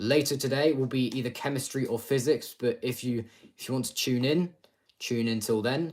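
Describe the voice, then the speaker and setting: With a British accent, a man speaks at a medium pitch using fairly even intonation. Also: moderate pace. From UK. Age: 20s. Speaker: streamer. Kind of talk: live stream revision session. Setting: live stream. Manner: halting.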